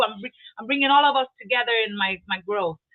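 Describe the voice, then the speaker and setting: Speaking with a Portuguese accent, a woman uses a fairly high pitch with ordinary pitch variation. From Brazil. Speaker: real estate investor. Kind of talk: interview. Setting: live online video stream. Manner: halting, with many repeated words.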